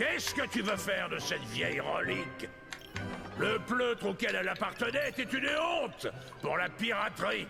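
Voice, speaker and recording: A man performs a put-on character voice at a moderate pace. Loud music plays in the background. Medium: machinima.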